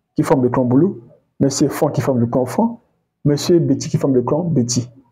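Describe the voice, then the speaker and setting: This man has a Congolese accent and a fairly high pitch. His tone is dark and mellow, somewhat breathy, with ordinary pitch variation. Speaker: history commentator. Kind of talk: educational talk. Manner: hesitant, with many fillers.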